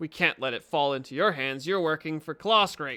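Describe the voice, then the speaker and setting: A man uses a put-on character voice, fairly high in pitch. He keeps a moderate pace. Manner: through gritted teeth.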